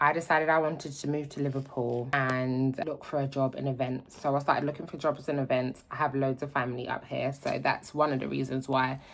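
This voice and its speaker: Hardly pausing, a woman speaks at a fairly quick pace in a London accent, her very deep, low voice monotone and flat. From London, South London. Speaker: vlogger. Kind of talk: casual vlog chat. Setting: at home, in utility room.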